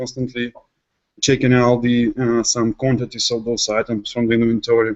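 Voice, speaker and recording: A man with a non-native accent, speaking at a moderate pace. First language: not English. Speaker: software developer. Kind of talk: technical presentation. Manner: halting with many fillers.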